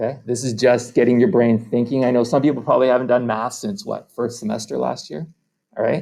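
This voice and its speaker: Here is a man with a normal speaking voice at a medium pitch. He moves at a fairly quick pace with ordinary pitch variation. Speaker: math teacher. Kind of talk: lecture. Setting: recorded video lesson.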